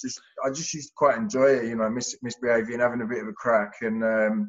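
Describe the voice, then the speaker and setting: A man with a slight Essex accent talks at a fairly quick pace, medium-pitched with lively intonation. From Hertfordshire near Essex, England. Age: 20s. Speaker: podcast guest, recovering ex-offender. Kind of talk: casual interview chat. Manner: halting, many fillers.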